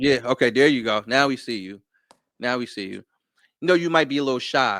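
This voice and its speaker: Speaking at a fairly quick pace with a medium pitch, a man has a plain, everyday voice, ordinary pitch variation and big swings in loudness. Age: 40s. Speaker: podcast host. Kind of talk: casual chat. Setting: live stream video call.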